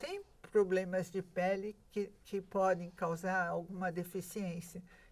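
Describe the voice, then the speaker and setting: A woman's medium-pitched voice moves at a very slow pace, its intonation monotone and flat. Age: 70s. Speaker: nutritionist. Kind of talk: interview. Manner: hesitant, many fillers.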